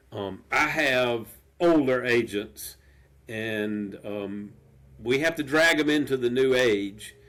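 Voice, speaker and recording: Over noticeable background noise, a man with an American accent talks at a very slow pace, his medium pitch showing ordinary pitch variation. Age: 70s. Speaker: real estate developer. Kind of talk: interview.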